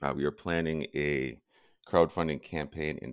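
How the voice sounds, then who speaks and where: Speaking at a fairly slow pace with an American accent, this voice has vocal fry and fairly even intonation. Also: man. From US upper Midwest, Lake Superior shore. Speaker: mountaineer and project founder. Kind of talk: interview.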